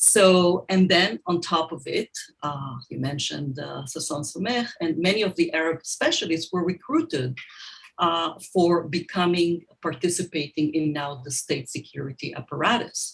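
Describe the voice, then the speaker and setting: Somewhat breathy, a woman speaks at a moderate pace. Her voice is fairly low with ordinary pitch variation. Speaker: scholar. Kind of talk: panel conversation. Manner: many fillers and restarts.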